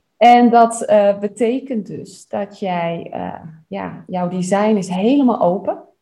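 The speaker uses a dark, mellow tone at a very slow pace, with ordinary pitch variation and big swings in loudness. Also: woman, medium pitch for a woman. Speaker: human design coach. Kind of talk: personal reading and feedback. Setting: studio. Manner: enthusiastic.

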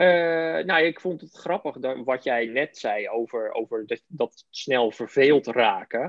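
Lively intonation carries a very slow delivery with hardly any pauses. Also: man, medium pitch for a man, big swings in loudness. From Netherlands, North Holland (Aalsmeer). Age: 30s. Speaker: TV producer and local radio volunteer. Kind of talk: interview.

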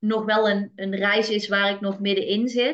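The speaker is a woman with a fairly high pitch. Her pace is fairly slow. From Netherlands, North Brabant. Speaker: kindergarten teacher. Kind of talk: interview. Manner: halting.

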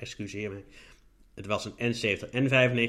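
This man's voice has a bright, sharp tone. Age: 30s. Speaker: podcast host with a visual impairment. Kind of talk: solo podcast monologue.

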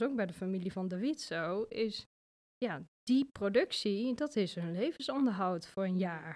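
A woman with an Achterhoek accent, fairly high in pitch with lively intonation, on a very clean recording with a silent background. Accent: Achterhoek Dutch, noticeable. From Achterhoek, Netherlands. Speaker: coffee farmer living in Ethiopia. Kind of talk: casual interview.

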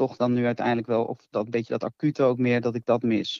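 Captured with a dry, close sound and no echo, the speech moves at a moderate pace. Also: man. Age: 20s. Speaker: nurse. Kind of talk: casual chat.

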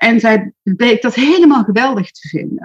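A woman's fairly high, somewhat breathy voice at a moderate pace, with a dry, close sound and no echo. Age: 60s. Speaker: social media marketing expert and entrepreneur. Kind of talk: interview. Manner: hesitant, many filler words.

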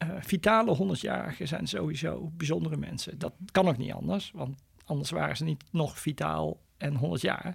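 With hardly any pauses, a man keeps talking at a moderate speed. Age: 60s. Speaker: immunologist and professor. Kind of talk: interview.

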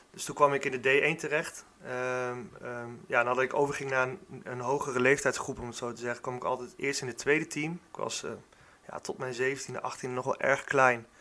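At a moderate pace, a man with a bright, sharp, medium-pitched voice speaks with fairly even intonation and big swings in loudness. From Netherlands, Gelderland (Warnsveld). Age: 30s. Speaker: football club youth coordinator. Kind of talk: podcast interview. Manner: hesitant, many fillers.

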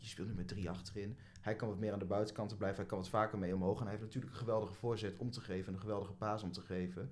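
Somewhat breathy speech at a very fast pace with fairly even intonation and audible room echo. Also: man. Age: 20s. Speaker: student and football fan. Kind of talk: casual chat.

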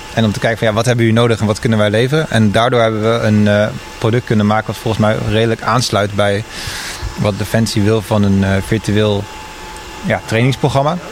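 Over noticeable background noise, a man talks at a fairly quick pace with fairly even intonation. His pitch is fairly low and his loudness very even. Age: 20s. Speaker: junior designer, technical support. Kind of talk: interview.

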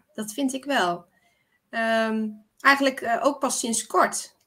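Very slowly, a woman speaks in a bright, sharp tone on a very clean recording with a silent background. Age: 30s. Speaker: listener. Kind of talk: casual chat.

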